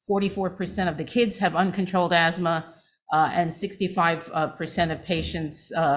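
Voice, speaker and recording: With audible room echo around her, a woman in a New York accent talks at a fairly low pitch, somewhat breathy and with fairly even intonation. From New York City, Manhattan. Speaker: physician. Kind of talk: lecture.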